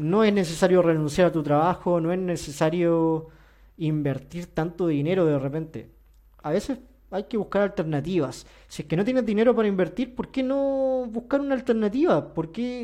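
This man has a high pitch and a dark, mellow tone. His intonation is lively. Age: 30s. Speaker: finance and investment youtuber. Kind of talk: solo podcast monologue. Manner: hesitant, with fillers and repetitions.

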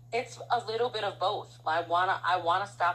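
A woman with a fairly low pitch talks at a moderate pace in an unremarkable speaking voice. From Harlem and the Bronx, New York. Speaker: guest and prospective co-host. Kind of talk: casual conversation.

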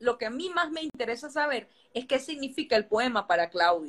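The intonation is lively. The pace is moderate. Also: woman. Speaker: interviewer. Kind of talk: interview.

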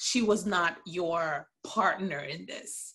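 Normal pitch movement in a woman's somewhat breathy voice. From Haiti, Port-au-Prince. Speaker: podcast guest, TV fan. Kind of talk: casual chat.

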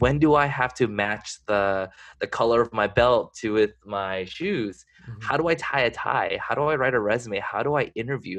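A man with an ordinary speaking voice talks at a moderate pace with ordinary pitch variation over a quiet background. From California. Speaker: corporate strategy manager. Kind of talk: interview.

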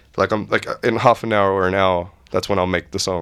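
The recording is very clean with a silent background. A man with an Australian accent speaks at a moderate pace in a fairly low pitch. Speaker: music producer. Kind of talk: casual chat.

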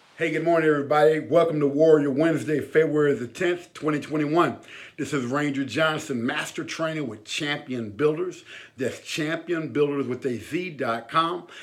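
A man speaks at a moderate pace in a fairly high, energetic voice. The room gives off an audible echo. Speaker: army veteran and motivational speaker. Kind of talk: motivational talk.

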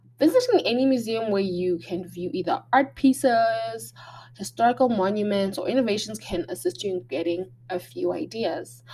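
Somewhat breathy with a dark, mellow tone, a woman speaks at medium pitch and a moderate pace with very wide pitch swings. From Botswana, Gaborone. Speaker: podcast host, creative arts advice. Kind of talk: solo talk with tips, partly read from notes. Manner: hesitant, frequent ums and restarts.

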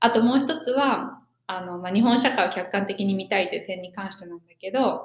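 At a fairly quick pace, a woman talks in an ordinary speaking voice of medium pitch, with ordinary pitch variation and big swings in loudness. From Japan. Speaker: podcast co-host, exchange student. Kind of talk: casual chat.

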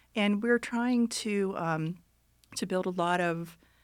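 On a very clean recording with a silent background, a woman with an American accent speaks at a medium pitch with ordinary pitch variation. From Ohio, Youngstown. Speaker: university library dean. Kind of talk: interview. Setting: studio. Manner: hesitant, frequent fillers.

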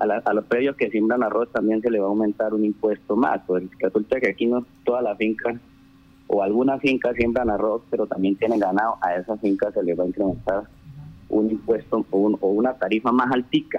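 Over music in the background, the speech moves at a fairly quick pace with very even loudness and fairly even intonation. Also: man, fairly low pitch for a man. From Colombia, rural Casanare (Trinidad). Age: 30s. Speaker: town councillor. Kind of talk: radio interview. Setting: phone call. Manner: halting.

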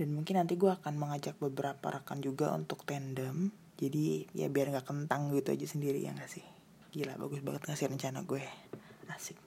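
Speaking at a fairly quick pace, a woman uses a very deep, low pitch, a dark, mellow tone, fairly even intonation and vocal fry. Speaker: podcaster. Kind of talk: casual solo monologue.

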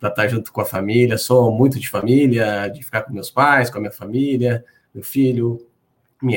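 This man speaks in a plain, everyday voice at a medium pitch and moderate pace, his intonation fairly even. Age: 40s. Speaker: credit bureau business development executive. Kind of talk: webinar conversation. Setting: video call.

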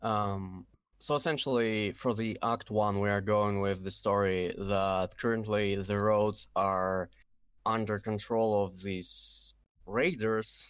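With a Russian accent, a man speaks very slowly at a fairly low pitch, his loudness very even and his intonation fairly even. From Kazakhstan. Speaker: game mod team lead. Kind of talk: casual interview chat.

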